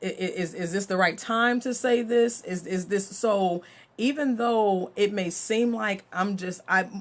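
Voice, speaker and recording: The voice sounds animated, with ordinary pitch variation. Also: woman. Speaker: mentor and author. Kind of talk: live stream talk. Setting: Facebook live video. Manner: loud.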